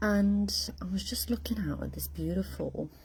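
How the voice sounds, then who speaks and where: A soft-spoken woman talks in a monotone, flat intonation. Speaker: intuitive coach. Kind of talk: casual live stream monologue. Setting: outdoors. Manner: quiet, talking softly; halting, searching for words.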